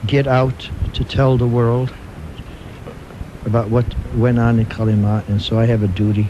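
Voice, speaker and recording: A man talks at a moderate pace in a monotone, flat intonation, his loudness very even. Long, frequent pauses break up his speech, and there is noticeable background noise. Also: medium pitch for a man. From Buffalo, New York. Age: 60s. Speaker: Gulag survivor. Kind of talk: radio interview. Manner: halting, many fillers.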